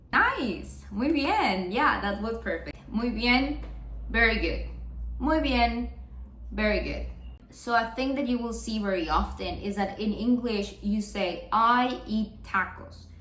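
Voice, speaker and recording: Speech at a very slow pace comes through with audible room echo and noticeable background noise. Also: woman. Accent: Spanish. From Mexico. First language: Spanish. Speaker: Spanish teacher. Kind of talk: tutorial.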